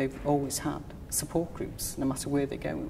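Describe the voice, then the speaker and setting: A woman with a Liverpool accent speaks in a very deep, low pitch. Her intonation is fairly even, with music in the background. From Liverpool, England. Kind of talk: oral history interview answer.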